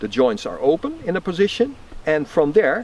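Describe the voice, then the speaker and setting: At a moderate pace, a man talks in a high pitch with noticeable background noise behind him. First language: not English. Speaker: tai chi teacher. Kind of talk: tutorial.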